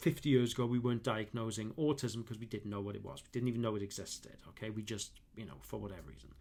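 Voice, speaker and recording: The speaker rushes along at a very fast pace with vocal fry and hardly any pauses. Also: man, fairly low pitch for a man. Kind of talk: unscripted monologue to camera. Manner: halting, many fillers and restarts.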